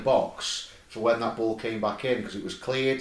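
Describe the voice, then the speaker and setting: Noticeable background noise runs under the recording. Over it, a man talks at a fairly quick pace. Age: 30s. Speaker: football podcast host. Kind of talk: casual chat.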